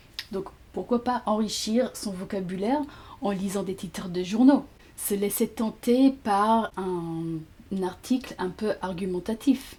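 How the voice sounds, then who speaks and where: A woman speaks at a very slow pace and medium pitch, somewhat breathy, with a dark, mellow tone and ordinary pitch variation. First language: English (speaking French). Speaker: language teacher. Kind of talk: tutorial.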